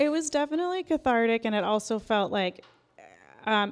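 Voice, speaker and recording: Over a very clean recording with a silent background, a woman uses an ordinary speaking voice with an American accent, speaking at a fairly quick pace with lively intonation. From Iran, raised in US from age two. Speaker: author and TV writer. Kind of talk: interview conversation. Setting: live event recording.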